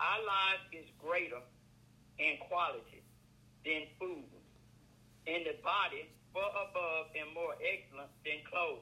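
Speaking at a fairly slow pace with long, frequent pauses, a man has a high voice. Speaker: minister. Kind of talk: intercessory prayer. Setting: phone call.

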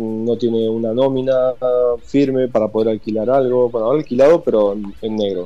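A man holds a moderate pace and medium pitch, with fairly even intonation. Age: 40s. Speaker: emigrant interviewee. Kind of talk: casual interview. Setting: WhatsApp call. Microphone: phone line.

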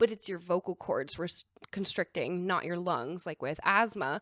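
A woman speaks at a medium pitch. The recording is very clean, with a silent background and a dry, close sound with no echo. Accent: Southern California. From San Diego, California. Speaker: film producer. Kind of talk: casual chat.

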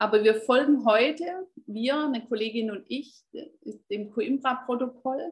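Talking at a fairly slow pace with long, frequent pauses, a woman uses a high pitch, ordinary pitch variation and big swings in loudness. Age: 50s. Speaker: health coach. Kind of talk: interview.

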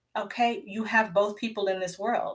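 The voice has a bright, sharp tone, a Southern US accent and a fairly slow pace. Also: woman. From US South (Georgia). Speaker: homeschooling mom and podcast host. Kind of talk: live Q&A chat. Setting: livestream. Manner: conversational, many fillers.

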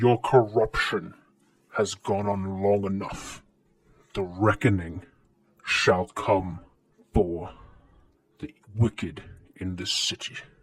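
Putting on a guttural character voice, a man speaks at a fairly low pitch and a very slow pace with long, frequent pauses. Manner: menacing, ominous.

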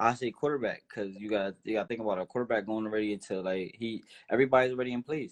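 At a very fast pace, a man speaks at medium pitch with fairly even intonation. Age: 20s. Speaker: professional boxer. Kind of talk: casual interview.

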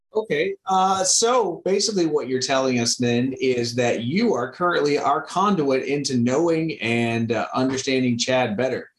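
With a plain, everyday voice, a man talks in an American accent at a fairly high pitch, using lively intonation, very even loudness and hardly any pauses. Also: moderate pace. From Missouri, US. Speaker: podcast host. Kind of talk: casual chat.

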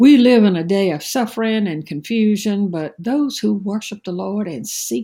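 A woman speaks at a moderate pace in a dark, mellow tone, somewhat breathy. The recording is very clean, with a silent background. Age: 60s. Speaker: preacher. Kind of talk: devotional sermon. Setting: at home.

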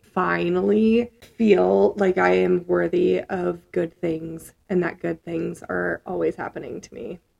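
The speaker is a woman. Her loudness swings widely. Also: very slow pace. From US Midwest (Nebraska, Minnesota). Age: 20s. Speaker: podcast co-host and educator. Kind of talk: casual chat. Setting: studio.

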